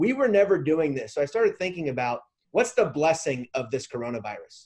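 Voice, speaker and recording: With an American accent, a man speaks at a fairly quick pace and a fairly high pitch. His voice makes very wide pitch swings over a quiet background. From Washington DC area, US. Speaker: realtor. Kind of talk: panel discussion. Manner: fast.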